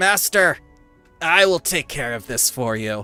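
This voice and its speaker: A raspy, put-on character voice at a low-to-middle pitch speaks at a fairly slow pace. Faint music plays in the background. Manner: servile, eager.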